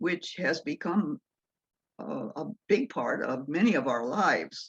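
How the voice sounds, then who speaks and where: A woman speaks at a fairly slow pace in a fairly low pitch, with vocal fry and very wide pitch swings. The sound is dry and close with no echo. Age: 80s+. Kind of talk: talk to church congregation.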